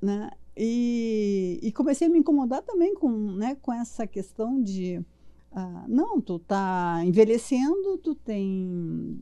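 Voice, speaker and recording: A woman talks very slowly in a fairly high pitch with a dark, mellow tone. Her pitch swings very widely. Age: 70s. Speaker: physician and mentor. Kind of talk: podcast interview. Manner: animated.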